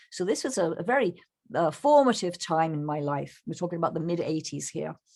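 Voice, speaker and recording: The speaker has an English accent, a moderate pace and lively intonation. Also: woman. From England. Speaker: bird photographer. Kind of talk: presentation. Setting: video call. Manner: halting.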